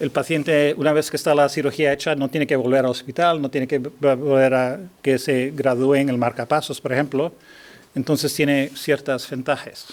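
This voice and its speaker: At a moderate pace, the speaker uses monotone, flat intonation with a non-native accent. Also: man, fairly high pitch for a man. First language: not Spanish (speaking Spanish). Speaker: neurosurgeon. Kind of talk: lecture. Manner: halting.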